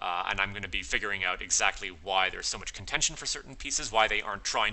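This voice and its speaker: A man rattles off his words at a very fast pace while noticeable background noise fills the clip. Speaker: game developer. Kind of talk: live stream tutorial. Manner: halting.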